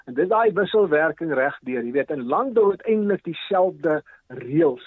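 A man's high-pitched voice with lively intonation. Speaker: agricultural economist. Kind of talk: radio interview.

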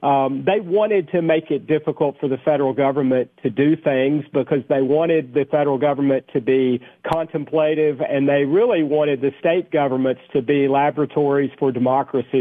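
With a Tennessee accent, a man speaks at a fairly quick pace and a fairly high pitch, his intonation fairly even and hardly any pauses. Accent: Tennessee Southern. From Tennessee, Cookeville. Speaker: congressman. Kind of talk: radio interview. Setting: phone call.

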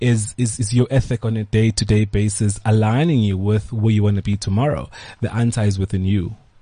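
A man's fairly low, somewhat breathy voice with a dark, mellow tone, fairly quick in pace and fairly even in intonation, against a quiet background. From South Africa, KwaZulu-Natal (Pietermaritzburg). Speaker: hotel group co-owner. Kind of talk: interview. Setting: studio.

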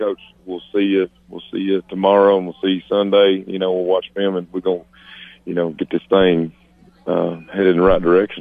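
The speech moves at a fairly quick pace, with monotone, flat intonation. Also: man, very deep, low pitch for a man. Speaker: high school football coach. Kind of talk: radio interview. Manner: halting, dejected.

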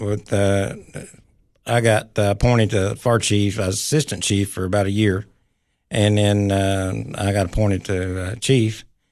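A man with a Tennessee accent speaks at a fairly slow pace in a fairly low pitch, his intonation fairly even against a quiet background. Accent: Southern US (Tennessee). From Tennessee, Clay County. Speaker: county mayor. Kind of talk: radio interview. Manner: halting.

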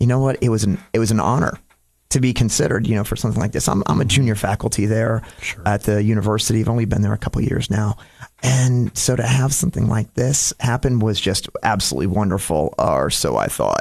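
Delivered at a very fast pace in an American accent, the speech has ordinary pitch variation and very even loudness. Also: man, medium pitch for a man. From Florida (Dunedin), New York/Connecticut family. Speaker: county commissioner, navy veteran. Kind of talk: radio interview. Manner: talks with his hands, many fillers.

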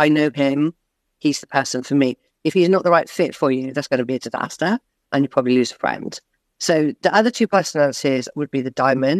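A man with an English accent talks at a very fast pace in a fairly high pitch with ordinary pitch variation. The sound is dry and close, with no echo. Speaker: leadership coach. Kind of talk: interview. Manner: fast talker; animated.

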